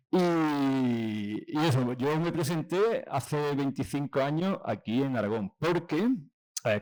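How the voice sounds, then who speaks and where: Recorded very cleanly against a silent background, a man with an Andalusian accent talks at a fairly high pitch with ordinary pitch variation. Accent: Granada Andalusian. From Andalusia, Granada. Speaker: school head teacher. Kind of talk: lecture. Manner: casual, relaxed.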